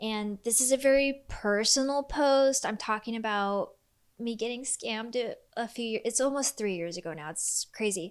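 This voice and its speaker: A woman with a normal speaking voice talks at a moderate pace and a fairly high pitch. Her pitch variation is ordinary, and the background is quiet. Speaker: lifestyle vlogger. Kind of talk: casual chat.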